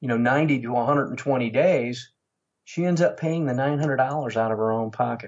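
This man speaks at a fairly slow pace with ordinary pitch variation. His is a plain, everyday voice. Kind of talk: interview.

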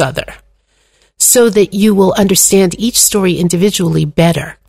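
A woman speaks at a medium pitch and a moderate pace. Her voice is somewhat breathy. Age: 60s. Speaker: Torah teacher and author. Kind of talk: interview conversation.

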